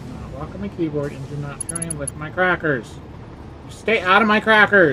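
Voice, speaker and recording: Background noise is noticeable. The pace stays moderate. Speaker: game streamer. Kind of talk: casual chat. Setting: home office. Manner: mumbling; soft-spoken.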